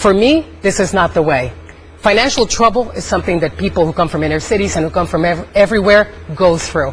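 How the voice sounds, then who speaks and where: Over noticeable background noise, a woman with a fairly low pitch talks at a fairly quick pace with lively intonation. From Puerto Rico. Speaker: sports talk panelist. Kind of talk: heated debate.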